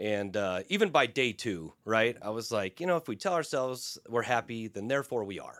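In a very clean recording with a silent background, a man of medium pitch speaks at a moderate pace with lively intonation and hardly any pauses, in a plain, everyday voice. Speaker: equine therapist. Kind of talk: interview.

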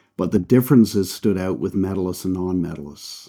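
In a very clean recording with a silent background, a man with a Canadian accent speaks at a moderate pace in a very deep, low pitch, with a dark, mellow tone and fairly even intonation. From Canada. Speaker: performance coach and speaker. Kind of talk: interview conversation.

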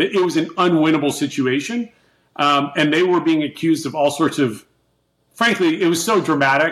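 A man talks at a fairly quick pace in an ordinary speaking voice. His pitch is fairly high and his intonation lively. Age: 50s. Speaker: tech company CEO. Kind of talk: interview. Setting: video call.

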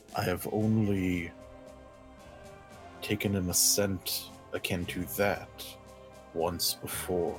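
Growling in a put-on character voice, a man with a fairly low pitch speaks at a very slow pace with long, frequent pauses and fairly even intonation over clear background music. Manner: low, predatory, measured.

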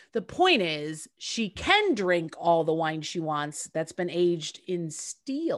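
A woman with a plain, everyday voice and an American accent speaks at a fairly low pitch with ordinary pitch variation on a very clean recording with a silent background. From upstate New York, US. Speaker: podcast co-host and actress. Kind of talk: casual chat.

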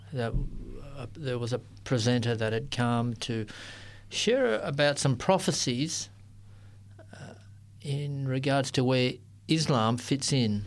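A man speaks with an Australian accent at a very slow pace, leaving long, frequent pauses. His pitch is medium, with ordinary variation. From Sydney, Australia. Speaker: interfaith ministry worker. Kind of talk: interview. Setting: studio.

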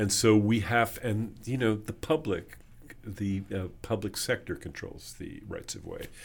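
This man's voice sits fairly low and is somewhat breathy, with ordinary pitch variation. His loudness swings widely. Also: fairly slow pace. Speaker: author and conference CEO. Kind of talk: interview.

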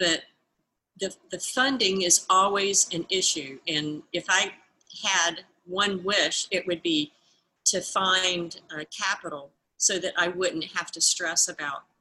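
In a Southern US accent, a woman speaks at a fairly slow pace with long, frequent pauses, a bright, sharp tone, medium pitch and ordinary pitch variation. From US South, Georgia. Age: 60s. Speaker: pet product entrepreneur. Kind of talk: interview.

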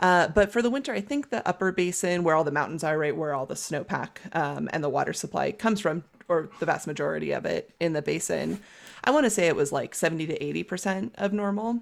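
A woman with an American accent speaks very fast in a fairly low voice, with lively intonation and vocal fry, on a very clean recording with a silent background. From California. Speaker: water policy specialist, podcast co-host. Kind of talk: casual educational conversation.

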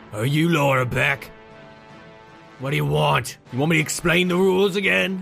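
A raspy, put-on character voice moves at a moderate pace with lively intonation and long, frequent pauses. Clear music plays in the background. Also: man, fairly high pitch for a man. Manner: gruff, impatient, bossy.

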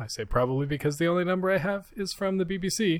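A man with a Canadian accent and an ordinary speaking voice at a fairly quick pace, on a very clean recording with a silent background. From Canada. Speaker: podcast co-host. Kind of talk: casual chat.

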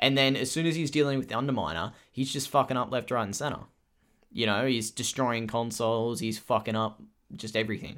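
A man with an Australian accent speaks at a medium pitch and fairly quick pace with ordinary pitch variation, recorded very cleanly against a silent background. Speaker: podcast co-host. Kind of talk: casual chat.

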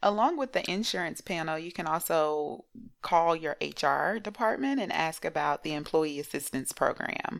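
A woman with an unremarkable speaking voice, fairly low in pitch, with lively intonation. She talks at a moderate pace on a very clean recording with a silent background. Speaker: therapist, podcast co-host. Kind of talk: casual chat.

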